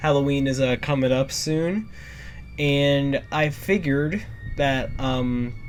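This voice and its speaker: Very slow delivery from a man, intonation fairly even. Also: fairly high pitch for a man. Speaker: YouTuber reacting to videos. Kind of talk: casual reaction commentary. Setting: in his bedroom at night. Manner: soft-spoken, quiet to not disturb parents; halting, many fillers.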